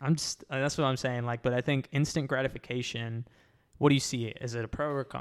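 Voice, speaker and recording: Very fast, flat, monotone speech from a man at medium pitch, in a very clean recording with a silent background. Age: 20s. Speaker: podcast host. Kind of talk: casual chat. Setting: podcast recording with camera.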